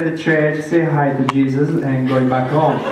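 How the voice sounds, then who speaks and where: A man speaks at a fairly high pitch with a slight Italian accent. Noticeable background noise and audible room echo fill the recording. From Italy. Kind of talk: testimony. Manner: halting.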